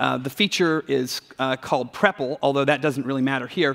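A man talks at a moderate pace. Behind him the background is quiet. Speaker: conference speaker. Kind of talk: keynote talk. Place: stage.

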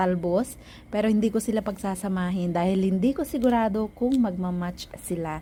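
Somewhat breathy, a woman's voice has a dark, mellow tone. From Philippines, Ilocos region. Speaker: cooking vlogger. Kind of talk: cooking tutorial voiceover.

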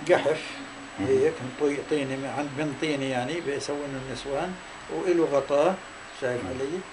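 With a Palestinian accent, a man speaks at a fairly slow pace and with fairly even intonation over noticeable background noise. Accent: Palestinian rural Arabic. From Palestine, Tall al-Safi village near Hebron. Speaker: Nakba refugee, oral history witness. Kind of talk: interview answer. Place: home room.

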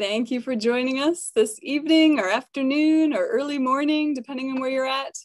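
Against a quiet background with dry sound and no echo, a woman talks at a fairly quick pace and high pitch, with ordinary pitch variation and hardly any pauses. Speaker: science communicator and webinar host. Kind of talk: webinar hosting. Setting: video call. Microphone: webcam.

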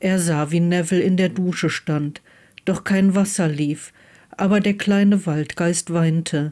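A woman's fairly low, dark, mellow voice with fairly even intonation at a fairly slow pace, on a very clean recording with a silent background

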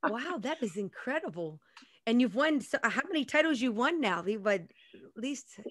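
Against a quiet background, a woman speaks at a moderate pace in a high pitch, with very wide pitch swings and big swings in loudness. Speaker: fashion meetup interviewer. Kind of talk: interview host questions. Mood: warm, impressed. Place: home room. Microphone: studio mic.

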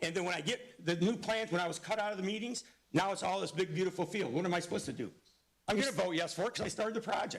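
Loud and animated, a man with an American accent talks very fast in a high pitch with ordinary pitch variation. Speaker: school board member. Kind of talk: heated debate. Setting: public board meeting.

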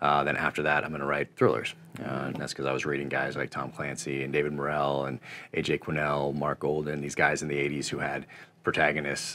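A man's very deep, low voice with vocal fry and monotone, flat intonation. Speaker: interview guest. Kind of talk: interview answer. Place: home room.

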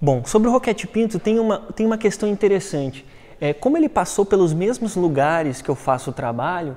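Moving at a fairly quick pace, a man uses a high pitch and a dark, mellow tone, with very wide pitch swings. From Brazil, Rio de Janeiro coast; Rio de Janeiro, Brazil. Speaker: archaeology researcher; conference presenter. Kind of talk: research talk; lecture. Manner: fast; hesitant, many filler words. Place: hall.

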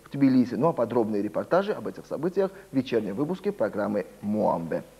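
Swinging very widely in pitch, a man speaks at a fairly quick pace with a dark, mellow tone. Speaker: news anchor. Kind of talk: news reading. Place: studio. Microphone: lapel.

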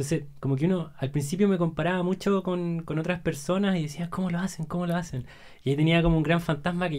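Delivered at a very fast pace over a quiet background, the speech keeps a fairly even intonation. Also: man. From Chile, Santiago; Chile. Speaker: entrepreneur; podcast guest. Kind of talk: casual chat. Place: studio. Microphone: studio mic.

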